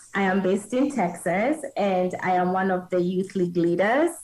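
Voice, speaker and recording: A woman speaks at a moderate pace in a medium pitch with ordinary pitch variation, a plain, everyday voice. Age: young. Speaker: youth leader and boutique owner. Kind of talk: panel discussion.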